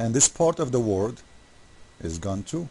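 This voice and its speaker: With an Arabic accent, a man speaks in a dark, mellow tone that is somewhat breathy, his intonation lively. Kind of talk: casual commentary video. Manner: animated; halting.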